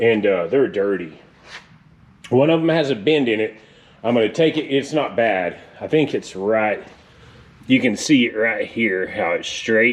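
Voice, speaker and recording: Lively intonation from a man, delivered at a moderate pace. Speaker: car hobbyist vlogger. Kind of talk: casual vlog talk. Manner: loud, yelling.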